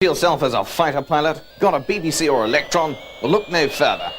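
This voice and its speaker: A man speaks over noticeable background noise. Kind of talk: upbeat, energetic sales pitch. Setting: in-store advertisement, 1980s.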